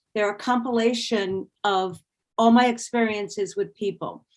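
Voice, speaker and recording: A woman talks in an ordinary speaking voice, with a fairly high pitch and fairly even intonation. The recording is very clean, with a silent background. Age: 60s. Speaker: personal trainer and walking group leader. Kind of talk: interview.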